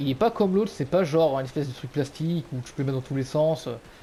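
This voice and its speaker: A man's dark, mellow, fairly high voice at a fairly quick pace, with lively intonation. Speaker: gaming YouTuber. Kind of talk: product review. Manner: loud; hesitant, many fillers. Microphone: cheap gaming headset mic.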